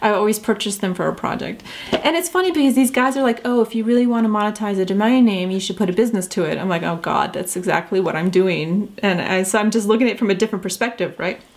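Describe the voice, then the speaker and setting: Over noticeable background noise, someone speaks at a very fast pace with hardly any pauses and ordinary pitch variation. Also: woman, fairly high pitch for a woman. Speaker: entrepreneur vlogger. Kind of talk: casual vlog talk. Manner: hesitant, many fillers and restarts.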